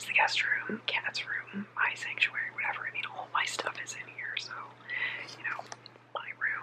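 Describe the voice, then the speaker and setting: Whispering at a moderate pace, a woman is heard over noticeable background noise. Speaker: vlogger. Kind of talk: casual ASMR vlog talk to camera. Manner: whispered.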